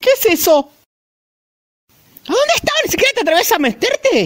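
An extremely high-pitched, put-on character voice with very wide pitch swings at a moderate pace. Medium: fan dub. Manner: shrieking, panicked.

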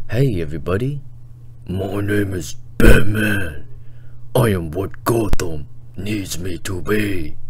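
Growling in a put-on character voice, a man with a very deep, low pitch uses lively intonation, big swings in loudness and long, frequent pauses over clear background noise. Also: fairly slow pace. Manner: gravelly, serious.

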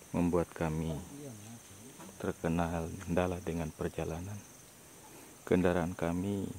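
Speech comes at a very slow pace in a dry sound with no echo, against noticeable background noise. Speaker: travel vlogger reporter. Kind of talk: commentary. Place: open country. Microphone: phone near.

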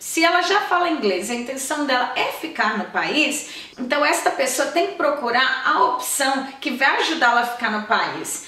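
A woman projects a raised, animated voice at a high pitch and a moderate pace. She leaves hardly any pauses, and audible room echo surrounds her words. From Brazil. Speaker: YouTuber. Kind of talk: vlog tutorial. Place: home room.

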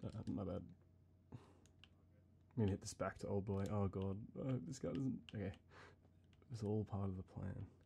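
Soft-spoken and somewhat breathy, a man speaks with a dark, mellow tone at a moderate pace. Long, frequent pauses break up his speech over light background noise. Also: fairly low pitch for a man, ordinary pitch variation. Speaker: gamer. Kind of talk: ASMR gaming let's play chatter. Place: home room.

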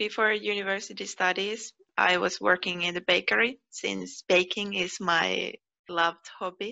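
A woman with a Finnish accent speaks at a medium pitch and a moderate pace, with vocal fry. The background is quiet. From Finland. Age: 20s. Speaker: PhD researcher. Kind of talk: personal interview monologue. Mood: friendly, calm. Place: home room. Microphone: headset.

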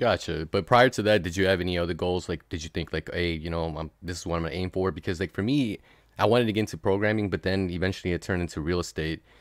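Recorded very clean with a silent background and a dry, close sound with no echo, a man speaks at a very fast pace in a very deep, low pitch with ordinary pitch variation. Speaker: podcast host. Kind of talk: casual chat.

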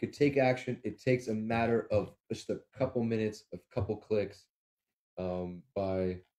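Against a quiet background, a man speaks with a dark, mellow tone. His pitch is fairly low with ordinary variation. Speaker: livestream co-host. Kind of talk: casual political talk show. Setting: studio, streamed live. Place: home room. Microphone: webcam.

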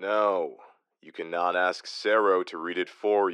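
A put-on character voice, deadpan and tired in tone, at a fairly slow pace. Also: man. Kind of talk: audio drama. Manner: deadpan, tired.

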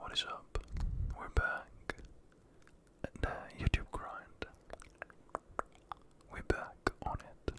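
A man whispers at a very slow pace, with long, frequent pauses and big swings in loudness. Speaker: ASMR creator. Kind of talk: ASMR trigger-word video. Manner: whispered, soft-spoken. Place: home room. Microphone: studio mic.

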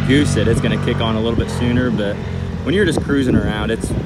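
Loud background noise over a dry sound with no echo. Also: man. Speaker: off-road vlogger. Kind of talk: casual vlog commentary. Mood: relaxed, approving. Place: open country. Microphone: phone near.

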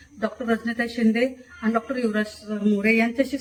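The speaker is a woman. Her pitch is fairly high. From Kolhapur, Maharashtra, India. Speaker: social worker and award recipient. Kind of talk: testimony. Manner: halting.

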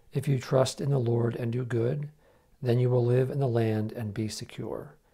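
Against a quiet background, a man with a somewhat breathy, medium-pitched voice speaks at a moderate pace with fairly even intonation. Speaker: prayer co-leader. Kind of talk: liturgical prayer. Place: home room. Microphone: lapel.

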